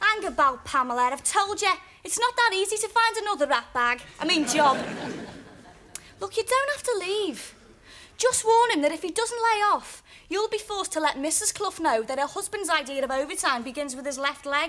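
Her voice raised and projected, a woman speaks at a moderate pace with very wide pitch swings. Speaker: sitcom actor playing a younger sister. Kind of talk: scripted sitcom dialogue. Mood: cheeky, teasing.

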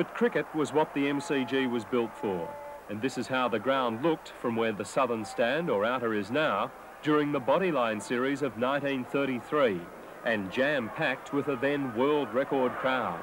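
A man at a fairly slow pace, ordinary pitch variation, dry sound with no echo and noticeable background noise. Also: medium pitch for a man. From Australia. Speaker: narrator. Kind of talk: documentary narration. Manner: formal, steady, measured.

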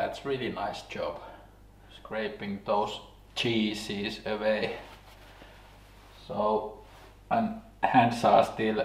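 A man talks very slowly, and the room gives audible echo to his words. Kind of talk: casual vlog chat. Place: workshop.

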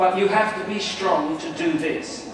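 A man's high-pitched voice at a moderate pace, with noticeable background noise and strong room echo. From England. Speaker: new convert addressing a congregation. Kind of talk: speech to an audience. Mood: earnest, calm. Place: hall.

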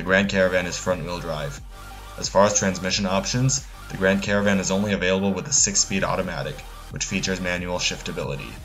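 Over music in the background, a man talks at a very fast pace in a very deep, low pitch. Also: ordinary pitch variation. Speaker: car reviewer. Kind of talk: car review narration. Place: street.

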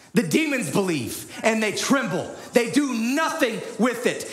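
With lively intonation, a man speaks amid audible room echo. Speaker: preacher. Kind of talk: sermon. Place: church. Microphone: headset.

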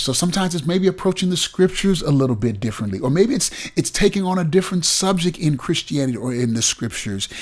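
Somewhat breathy and animated, a man races along at a very fast pace with lively intonation over a quiet background. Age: 60s. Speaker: pastor. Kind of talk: bible teaching. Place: home room. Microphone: studio mic.

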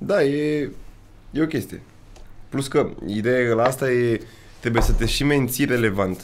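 The speaker talks at a fairly slow pace with ordinary pitch variation, leaving long, frequent pauses over light background noise. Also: man, medium pitch for a man. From Romania. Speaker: youtuber hosting his first podcast; podcast host or guest. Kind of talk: casual chat. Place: studio. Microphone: studio mic.

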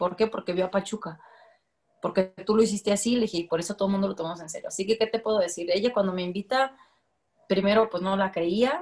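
A woman talks at a very fast pace with fairly even intonation. The background is quiet. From Guadalajara, Jalisco, Mexico. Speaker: women's football coach; women's football head coach. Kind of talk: interview; interview answer. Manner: casual, many fillers. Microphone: video call.

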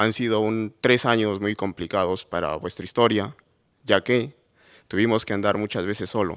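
Speaking at a fairly slow pace with long, frequent pauses, a man of fairly low pitch keeps a fairly even intonation over a quiet background. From Peru, Cajamarca; Peru. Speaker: entrepreneur, agronomist; presenter. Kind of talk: award presentation talk. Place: hall. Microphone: podium.

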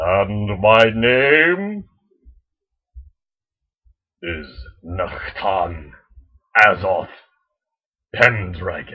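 A man's put-on character voice, fairly low in pitch, at a very slow pace with lively intonation. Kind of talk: ritual-style monologue. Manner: scary, menacing.

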